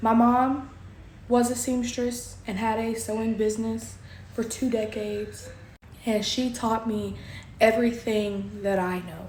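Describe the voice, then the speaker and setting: A woman with a Southern US accent speaks fairly slowly in a somewhat breathy, fairly high voice with monotone, flat intonation, and audible room echo is present. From Kentucky. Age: 20s. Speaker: crafter and small business owner. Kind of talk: casual vlog self-introduction.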